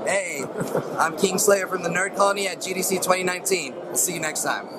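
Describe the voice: A man speaks at a fairly quick pace in a high voice with ordinary pitch variation, and background noise is clearly audible.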